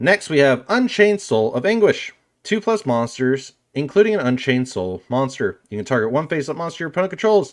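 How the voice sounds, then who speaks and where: Very wide pitch swings at a fairly quick pace, on a very clean recording with a silent background. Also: man, fairly high pitch for a man. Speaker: card game youtuber. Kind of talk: deck profile tutorial. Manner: reads card text aloud.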